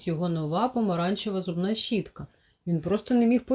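This plain reading aloud carries ordinary pitch variation.

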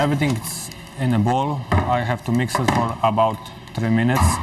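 A man speaks at a moderate pace and medium pitch with fairly even intonation. Faint background noise can be heard.

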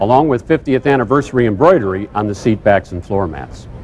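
A man speaks at a moderate pace with lively intonation. Light background noise can be heard. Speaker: presenter. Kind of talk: presentation to camera. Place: hall. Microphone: lapel.

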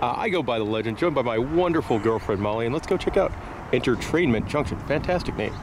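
Very fast speech comes from a man over noticeable background noise. The sound is dry with no echo. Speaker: travel vlogger. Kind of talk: casual vlog chat. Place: street. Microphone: phone near.

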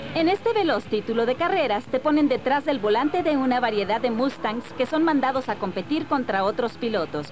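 Speaking with a Latin American accent, a woman talks at a fairly quick pace with hardly any pauses, her high voice lively in intonation yet very even in loudness, over noticeable background noise. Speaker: voice actor. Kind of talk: TV video game review voice-over. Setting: studio.

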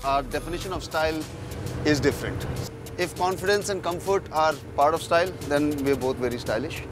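A man at a moderate pace with ordinary pitch variation, dry sound with no echo, and music in the background. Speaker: guest. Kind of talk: interview answer. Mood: relaxed, joking. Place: bus. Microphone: handheld.

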